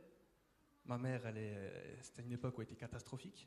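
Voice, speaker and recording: A man speaks at medium pitch with a dark, mellow tone. His voice is somewhat breathy, with ordinary pitch variation. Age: 20s. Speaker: church member giving testimony. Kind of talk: testimony. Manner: hesitant, many fillers and repetitions.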